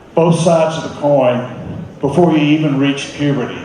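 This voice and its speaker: A man speaks with an American accent at a fairly slow pace. The recording has audible room echo and noticeable background noise. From US South, Mississippi Delta. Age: 60s. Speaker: entrepreneur and philanthropist. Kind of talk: conference talk.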